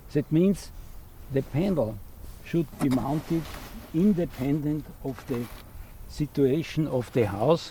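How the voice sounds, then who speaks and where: A man with an Austrian accent speaks at a very slow pace, leaving long, frequent pauses. His pitch is fairly high, with ordinary variation. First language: German. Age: 80s+. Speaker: retired electrical engineer and solar trainer. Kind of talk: tutorial.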